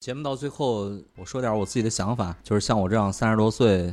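Pitch moves with ordinary variation. A dark, mellow tone colors the voice. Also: man. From China, small county town. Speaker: music fan. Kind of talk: casual chat.

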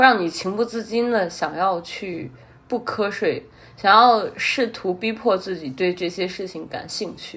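A woman's medium-pitched voice at a fairly slow pace, with ordinary pitch variation and big swings in loudness. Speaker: podcast host. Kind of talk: solo casual monologue.

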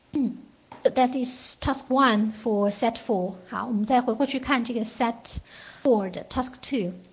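This woman talks very slowly in a high-pitched voice. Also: fairly even intonation. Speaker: English test prep teacher. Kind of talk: online lecture. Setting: online class.

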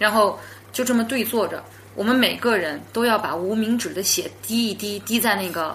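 At a moderate pace, a woman speaks in a normal speaking voice, fairly high in pitch, with ordinary pitch variation. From Yunnan, China. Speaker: podcast guest telling supernatural stories. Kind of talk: storytelling in casual interview. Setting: in the same room as host.

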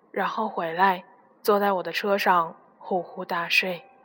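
The woman talks very slowly. The recording is very clean, the background completely silent. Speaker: radio host. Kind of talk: reading aloud.

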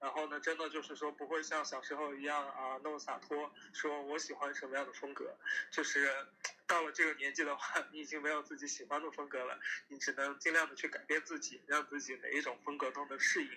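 Noticeable background noise surrounds a man speaking at a fairly high pitch. He delivers it in a flat monotone. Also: fairly quick pace. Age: 30s. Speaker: guest on podcast. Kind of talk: casual chat.

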